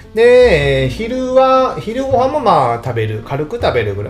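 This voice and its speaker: A man's voice over noticeable background noise. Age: 40s. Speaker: tax accountant podcaster. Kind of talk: solo podcast monologue. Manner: casual, filler-heavy.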